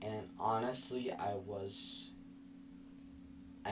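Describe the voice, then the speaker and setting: Audible room echo surrounds the speech of a man. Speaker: vlogger. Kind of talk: personal vlog recap. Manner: halting, mispronounces some words.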